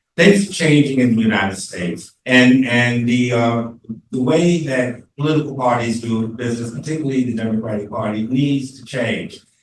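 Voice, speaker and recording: In an American accent, a man speaks at a moderate pace with a medium pitch and ordinary pitch variation. The room echo is audible. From Virginia, Newport News (US South). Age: 70s. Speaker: campaign treasurer and panelist. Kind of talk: panel debate. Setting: church panel event with audience.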